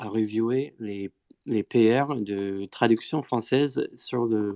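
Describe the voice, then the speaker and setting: A man with a non-native accent speaks at a very slow pace in a medium pitch, his dark, mellow tone and fairly even intonation captured in a dry, close sound with no echo over a quiet background. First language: not French (speaking French). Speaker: Bitcoin Core developer. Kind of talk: technical panel discussion. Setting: live Twitter audio space. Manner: hesitant, many fillers.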